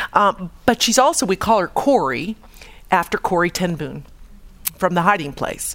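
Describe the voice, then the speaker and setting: A woman with a normal speaking voice talks at a moderate pace in an American accent. Her intonation is lively. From US Midwest, Chicago. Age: 50s. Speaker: radiologist giving a faith talk. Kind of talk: testimony talk.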